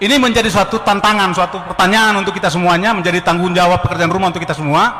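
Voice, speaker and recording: A man speaks in a raised, projected voice with ordinary pitch variation, amid noticeable background noise and audible room echo. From Ternate, North Maluku. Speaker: former army officer. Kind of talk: audience question at a public discussion. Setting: meeting hall with audience. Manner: halting, with fillers.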